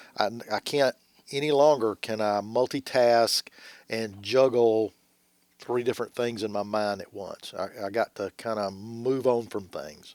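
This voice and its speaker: In a very clean recording with a silent background and a dry, close sound with no echo, a man speaks fairly slowly at medium pitch with fairly even intonation. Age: 60s. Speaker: church deacon, podcast co-host. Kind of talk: casual podcast interview chat. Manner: halting, repeats words.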